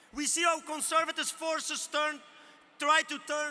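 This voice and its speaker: A man speaks in a raised, projected voice at an extremely high pitch. His pace is moderate. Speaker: trade union leader. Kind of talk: rally speech. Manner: rousing.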